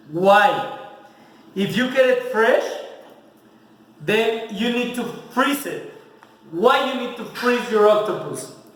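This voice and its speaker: A man speaks very slowly at an extremely high pitch, with ordinary pitch variation, big swings in loudness, long and frequent pauses, audible room echo and noticeable background noise. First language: Spanish. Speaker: home cook, video host. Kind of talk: cooking tutorial. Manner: casual, mixing English and Spanish.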